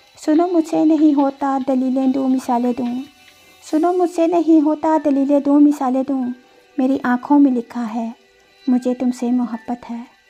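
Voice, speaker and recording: A woman speaks in a high pitch with ordinary pitch variation while music plays in the background. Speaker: poetry reciter. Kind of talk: poetry reading.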